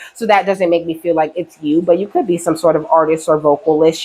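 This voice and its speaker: A woman speaks at a fairly quick pace with a very deep, low pitch. Her intonation stays fairly even. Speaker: tarot reader. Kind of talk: tarot reading. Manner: casual, frequent 'okay' fillers.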